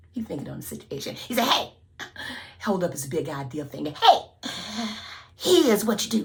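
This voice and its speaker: Over noticeable background noise, a woman with a very deep, low pitch speaks at a moderate pace, with very wide pitch swings, big swings in loudness, and long, frequent pauses. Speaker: storyteller. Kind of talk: folk tale storytelling. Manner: lively, call-and-response.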